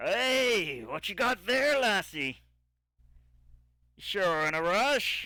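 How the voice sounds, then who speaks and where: A man uses a gruff, put-on character voice at a high pitch, speaking at a very slow pace with long, frequent pauses. The recording is very clean, with a silent background. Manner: friendly, teasing.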